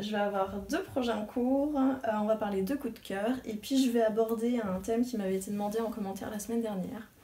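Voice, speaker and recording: A woman's fairly high voice at a fairly quick pace, hardly any pauses, fairly even intonation, noticeable background noise and audible room echo. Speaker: knitting podcaster. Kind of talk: casual video podcast monologue. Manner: hesitant with many fillers.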